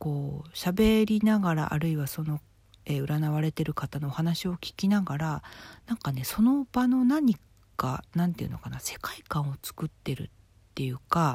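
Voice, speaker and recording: A woman with a very deep, low voice speaks with lively intonation and a somewhat breathy quality, recorded very cleanly against a silent background. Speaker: fortune teller and writer. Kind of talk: solo talk monologue. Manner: slow.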